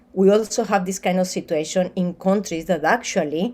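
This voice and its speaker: This woman has a dark, mellow tone and a medium pitch. She talks at a fairly quick pace. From Colombia. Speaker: graduate researcher. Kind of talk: academic seminar presentation. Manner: halting.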